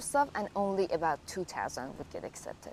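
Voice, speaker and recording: The speaker is a woman. She has a Persian accent. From Iran. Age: 20s. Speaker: graduate student. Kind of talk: interview. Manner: casual, filler-heavy.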